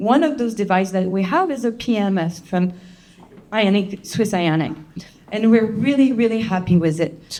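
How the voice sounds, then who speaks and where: A woman speaks with a French accent and a dark, mellow tone. Her intonation is lively. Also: medium pitch for a woman, moderate pace. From France. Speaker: chiropractor. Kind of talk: presentation to an audience.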